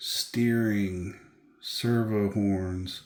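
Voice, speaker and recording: A soft-spoken man with a fairly low pitch and monotone, flat intonation, heard with audible room echo. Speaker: RC car hobby youtuber. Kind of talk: unboxing video. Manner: casual. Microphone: too quiet, hard to hear.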